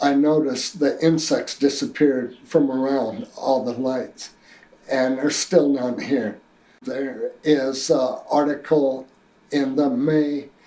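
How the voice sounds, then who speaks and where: The voice has a dark, mellow tone and an American accent. Its intonation is fairly even and its pace very slow. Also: man, fairly high pitch for a man. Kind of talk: personal testimony. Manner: halting, with fillers.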